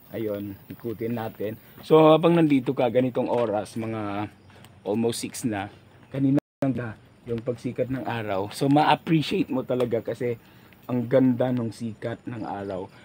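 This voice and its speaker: This man's voice has a dark, mellow tone and sits at a medium pitch, moving at a moderate pace with ordinary pitch variation. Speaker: vlogger. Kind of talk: travel vlog narration. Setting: outdoors.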